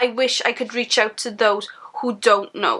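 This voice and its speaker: In a South Wales Valleys accent, a woman speaks at a fairly slow pace with a bright, sharp tone. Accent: Welsh (South Wales valleys). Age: 20s. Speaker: vlogger and mother. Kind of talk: casual vlog monologue.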